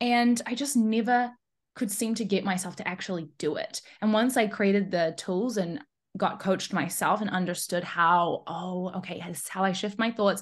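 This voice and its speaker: A woman at medium pitch, moderate pace and ordinary pitch variation, somewhat breathy, over a quiet background. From New Zealand. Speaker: high performance coach. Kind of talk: casual interview chat. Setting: remote call.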